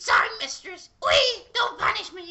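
A put-on character voice, shrill and squeaky, at a moderate pace. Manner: fearful, submissive.

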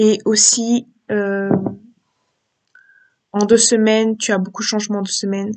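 The delivery moves at a moderate pace. Its pitch shows little movement.

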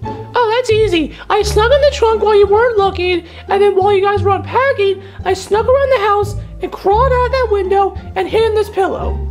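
A put-on character voice, female-sounding and extremely high in pitch, moves at a fairly quick pace. Clear music plays in the background. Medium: machinima. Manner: eager, excitable, easily frustrated.

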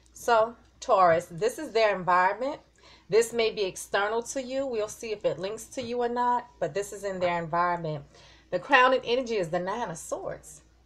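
With lively intonation, a woman talks at a moderate pace. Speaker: tarot reader. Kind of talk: tarot reading commentary. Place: home room.

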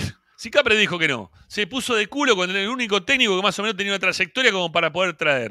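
A man speaks in a raised, projected voice, high for a man, with a bright, sharp tone and lively, animated intonation at a fairly quick pace. The sound is dry with no echo over a quiet background. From Argentina. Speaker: football fan podcast host; show host. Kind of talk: post-match fan reaction show. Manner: animated, heated. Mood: frustrated, critical. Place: home room. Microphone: handheld.

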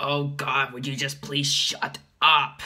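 A man's fairly high-pitched voice. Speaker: let's player; vlogger logging a voice transition. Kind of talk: casual talk to camera. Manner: deadpan, monotone. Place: home room. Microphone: phone near.

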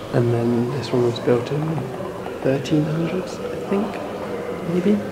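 A man's pitch varies in an ordinary way as loud noise fills the background. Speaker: travel vlogger. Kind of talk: casual vlog chat. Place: church. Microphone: phone near.

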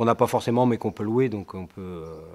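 The setting is quiet. This man's intonation stays fairly even. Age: 40s. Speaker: self-employed mason. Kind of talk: interview testimony. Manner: hesitant, many fillers. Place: home room.

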